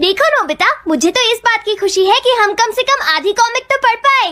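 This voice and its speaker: A cartoonish character voice at an extremely high pitch rattles along at a fairly quick pace. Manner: cautioning, sensible.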